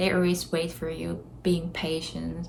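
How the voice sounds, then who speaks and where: A woman speaks in a Korean accent at a fairly slow pace. Audible room echo surrounds her voice. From South Korea. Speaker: vlogger. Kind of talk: casual vlog talk to camera.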